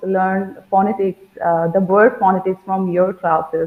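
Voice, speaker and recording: A woman speaks with a Bengali accent at a moderate pace and a medium pitch. Noticeable background noise runs behind her. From India, West Bengal. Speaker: school teacher, language learner. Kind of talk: interview. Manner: halting.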